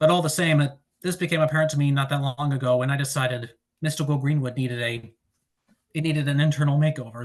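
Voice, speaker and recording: Speaking at a very fast pace, a man has a fairly high, somewhat breathy voice with fairly even intonation. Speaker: author giving a writing presentation. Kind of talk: presentation. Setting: online presentation.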